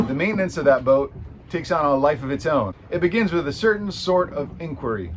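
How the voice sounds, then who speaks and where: A man with an American accent, fairly quick pace and very wide pitch swings, with noticeable background noise. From San Francisco, California. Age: 40s. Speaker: amateur sailor and video creator. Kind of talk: vlog narration.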